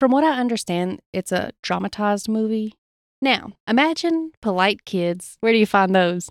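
A woman with an Appalachian accent speaks at a moderate pace and a fairly high pitch, her intonation lively. The recording is very clean with a silent background, and the sound is dry and close with no echo. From Appalachia, US. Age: 20s. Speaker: podcast host. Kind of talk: storytelling narration.

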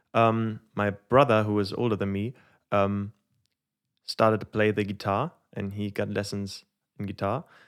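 A man with a German accent talks at a moderate pace with long, frequent pauses, a fairly low pitch and fairly even intonation, on a very clean recording with a silent background. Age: 20s. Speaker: musician and singer, podcast co-host. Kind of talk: casual chat. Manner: halting, many fillers.

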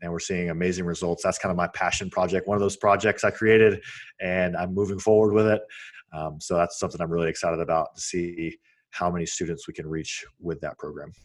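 With an American accent, a man talks very fast in a very deep, low voice with fairly even intonation, recorded very cleanly against a silent background. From US South, Georgia. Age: 30s. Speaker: Marine veteran and fitness entrepreneur. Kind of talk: interview conversation.

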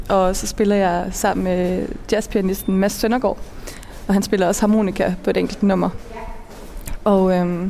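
A woman's medium-pitched voice at a moderate pace, broken by long, frequent pauses. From Denmark, Funen. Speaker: cellist, singer and composer. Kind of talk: interview. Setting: outdoors at a train station.

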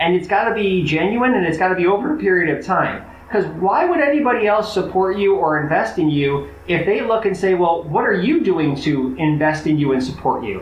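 With an American accent, a man speaks at a fairly quick pace and high pitch, his intonation lively, loudness very even and hardly any pauses, amid audible room echo and noticeable background noise. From Chicago, US Midwest. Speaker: college athletics administrator and former basketball coach. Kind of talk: interview.

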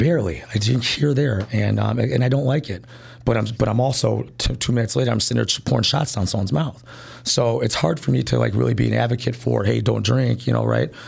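A man speaks in a Chicago accent. He talks at a very fast pace. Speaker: nightlife promoter. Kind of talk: casual interview.

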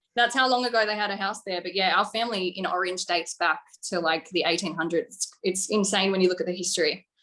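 Speaking at a very fast pace, a woman with a strong Australian accent keeps to a medium pitch. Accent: broad Australian. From Australia, coastal New South Wales. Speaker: singer-songwriter. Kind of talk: casual interview. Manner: chatty, laughs often.

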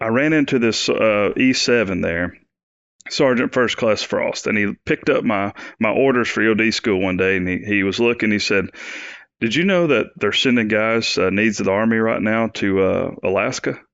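A man with an Alabama accent speaks at a moderate pace. His pitch is medium, with ordinary pitch variation. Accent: Southern US (Alabama). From US South, northeast Alabama. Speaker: Army veteran and law enforcement agent. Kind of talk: interview, personal story.

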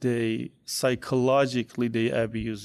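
A man's medium-pitched, monotone, flat voice in an Iranian accent against a quiet background. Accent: Iranian (Persian) accent in English. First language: Persian. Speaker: college tutor and author. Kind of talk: interview.

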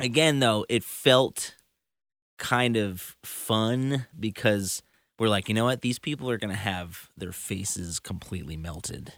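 The recording is very clean, with a silent background and a dry, close sound with no echo. A man with an American accent talks at a fairly slow pace in an ordinary speaking voice, at medium pitch with ordinary pitch variation. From US Midwest, Chicago. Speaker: musician and band leader. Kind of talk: casual interview.

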